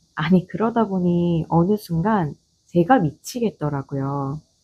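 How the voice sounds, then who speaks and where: A woman speaks in a dark, mellow tone at a fairly slow pace, her pitch fairly low and somewhat breathy. Her tone is calm, with lively intonation. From Gyeongsang region, South Korea. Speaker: office manager. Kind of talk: audio essay monologue. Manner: calm, unhurried.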